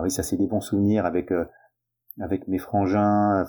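A man speaks at a fairly low pitch in a dark, mellow tone. The recording is very clean, with a silent background. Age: 50s. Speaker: tennis club president. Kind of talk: testimony. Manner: halting.

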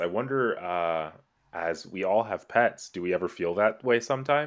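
With lively intonation and a moderate pace, a man speaks in an ordinary speaking voice. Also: quiet background. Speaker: guest. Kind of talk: casual chat.

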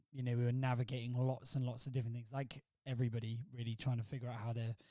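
Somewhat breathy, a man speaks at a medium pitch. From Wales. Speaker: church worker and father of four. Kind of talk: casual chat.

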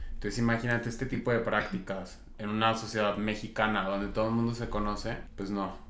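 A man's fairly low, monotone, flat delivery at a fairly quick pace with hardly any pauses and audible room echo. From Zacatecas, Mexico. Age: 20s. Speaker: marketing professional. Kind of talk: casual chat.

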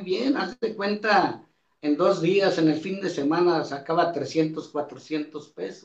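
A high-pitched man at a very slow pace, with ordinary pitch variation. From Mexico, Coahuila. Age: 60s. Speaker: retired photographer and deacon. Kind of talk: testimony.

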